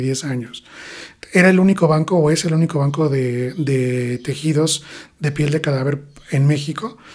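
A man at a fairly high pitch with ordinary pitch variation, over noticeable background noise. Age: 40s. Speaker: plastic surgeon. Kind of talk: interview. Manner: hesitant fillers.

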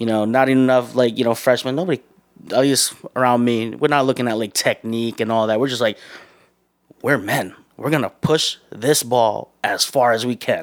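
A man speaks in a normal speaking voice at a moderate pace. His pitch is medium and his intonation fairly even. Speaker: bakery manager. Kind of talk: casual interview chat. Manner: casual, slangy, candid.

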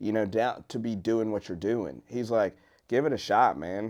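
An unremarkable speaking voice from a man with an American accent, at a moderate pace with ordinary pitch variation, against a quiet background. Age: 40s. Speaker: country singer-songwriter. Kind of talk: casual chat.

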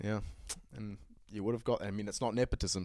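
On a very clean recording with a silent background, a man with a New Zealand accent talks with fairly even intonation. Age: 20s. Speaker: podcast host. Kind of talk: solo casual monologue. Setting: home studio set with bar.

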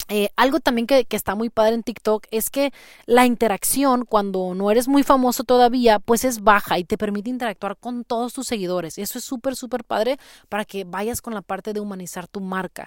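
A woman with a plain, everyday voice speaks at a fairly quick pace, her pitch fairly high with ordinary variation. The sound is dry and close with no echo, on a very clean recording with a silent background. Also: big swings in loudness. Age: 30s. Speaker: podcast host, marketing consultant. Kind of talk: casual tutorial. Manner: conversational, with frequent fillers.

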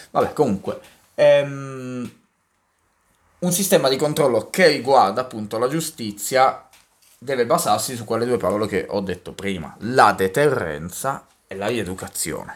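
The speaker goes at a fairly slow pace with long, frequent pauses, lively intonation and big swings in loudness. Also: man, medium pitch for a man. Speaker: podcast co-host. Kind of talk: casual chat.

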